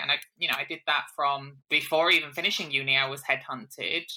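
A woman is speaking. Her tone is energetic. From Hull, northern England. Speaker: software company CEO. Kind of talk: interview.

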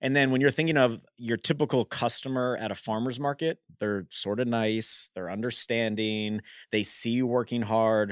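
A plain, everyday voice with ordinary pitch variation comes at a moderate pace in a very clean recording with a silent background and a dry, close sound free of echo. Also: man. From US, Washington DC. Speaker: restaurant founder. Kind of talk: interview. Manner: casual.

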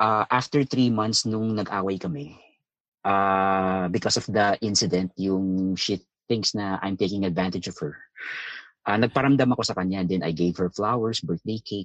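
Against a quiet background, a man with a Filipino accent speaks at a moderate pace in a fairly low pitch with ordinary pitch variation, the sound dry and close with no echo. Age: 30s. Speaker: caller. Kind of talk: phone-in conversation in Taglish. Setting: phone call.

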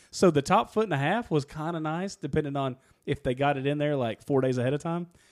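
Talking at a very fast pace, a man with a fairly high pitch shows ordinary pitch variation on a very clean recording with a silent background. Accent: Kentucky. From Kentucky. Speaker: podcast co-host. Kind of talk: casual chat.

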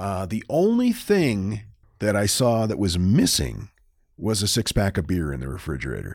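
Speaking in an ordinary speaking voice with an American accent, a man with a fairly low pitch uses lively intonation at a moderate pace on a very clean recording with a silent background. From northern Maine, US. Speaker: podcast co-host, storyteller. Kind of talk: casual storytelling chat.

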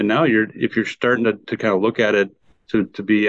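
A man with an American accent talks in a fairly low pitch at a fairly quick pace. He has an unremarkable speaking voice. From Wisconsin, US Midwest. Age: 50s. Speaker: golf course architect. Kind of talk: podcast interview.

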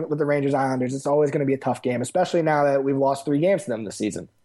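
With an American accent, a man talks at a very fast pace in a fairly high pitch and a dark, mellow tone. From Westchester, New York. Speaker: hockey fan. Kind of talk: casual chat.

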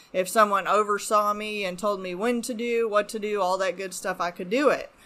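A woman speaks at a moderate pace with a bright, sharp tone, her pitch medium and her intonation fairly even. The recording is very clean, with a silent background. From Arizona. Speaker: addiction recovery worker. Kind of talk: personal testimony. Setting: home woodshop studio.

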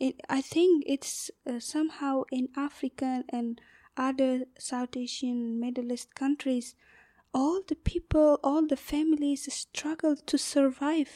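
A woman with an Afghan accent speaks at a very slow pace in a high, dark, mellow voice with fairly even intonation. The sound is dry and close with no echo, on a very clean recording with a silent background. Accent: Afghan (Uzbek-speaking) accent in English. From northern Afghanistan. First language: Uzbek. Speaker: LGBTQ rights activist. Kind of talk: interview. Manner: halting, many fillers.

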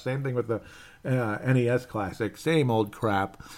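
An unremarkable speaking voice from a man with an American accent, medium in pitch, with fairly even intonation. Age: 30s. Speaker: sports podcast host. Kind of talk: casual solo sports commentary.

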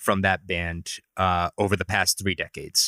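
Recorded very cleanly with a silent background and a dry, close sound with no echo, a man with a Rhode Island accent speaks in a bright, sharp tone. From Providence, Rhode Island. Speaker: editor and music enthusiast. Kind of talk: casual interview chat.

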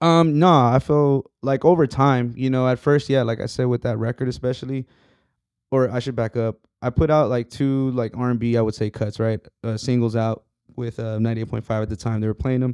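Against a quiet background, a man with an unremarkable speaking voice talks at a fairly quick pace and medium pitch with fairly even intonation. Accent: American. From Texas, San Antonio. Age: 30s. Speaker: musician and realtor. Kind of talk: casual chat.

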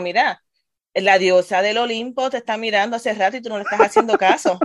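Intonation stays fairly even as the speech goes by at a fairly quick pace. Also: woman. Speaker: adult education teacher. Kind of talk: casual chat.

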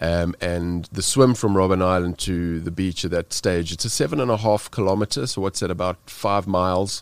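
With a South African accent, a man speaks at a moderate pace. His very deep, low voice comes through in a very clean recording with a silent background. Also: ordinary pitch variation. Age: 40s. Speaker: extreme cold-water swimmer and speaker. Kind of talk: podcast interview. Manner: animated storytelling, frequent fillers.

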